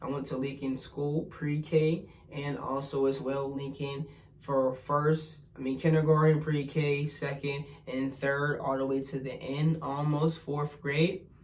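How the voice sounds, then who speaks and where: With an American accent, a man speaks fairly slowly in a flat monotone at a fairly high pitch, with audible room echo and noticeable background noise. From US, Pittsburgh, Pennsylvania. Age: 20s. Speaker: spiritual vlogger. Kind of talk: casual personal vlog monologue.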